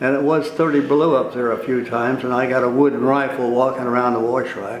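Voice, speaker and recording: In a room with audible echo and noticeable background noise, a man talks at a fairly quick pace. He has an American accent and a medium pitch. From California Central Valley (Tulare). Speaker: war veteran. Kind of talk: oral history interview.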